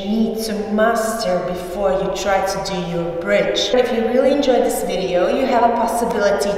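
Fairly even intonation amid strong room echo. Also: woman. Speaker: pole dance instructor. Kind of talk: tutorial. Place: gym. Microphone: camera far.

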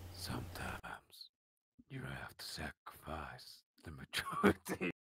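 This put-on character voice is raspy, with a very deep, low pitch. It moves at a fairly slow pace. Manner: grim, brooding.

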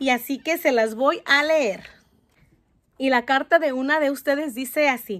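A woman's animated voice with a Mexican accent, at a moderate pace with ordinary pitch variation. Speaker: youtuber. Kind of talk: reading aloud. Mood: warm, encouraging. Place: home room. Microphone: phone near.

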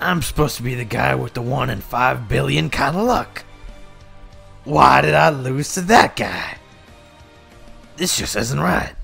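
Faint music plays in the background as a man performs a cartoonish character voice. He keeps a moderate pace. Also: medium pitch for a man. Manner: whiny then gleeful.

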